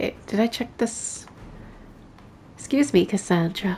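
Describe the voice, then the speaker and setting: A soft-spoken woman's voice at medium pitch, somewhat breathy and dark and mellow in tone, with ordinary pitch variation and a very slow pace. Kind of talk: casual gameplay commentary.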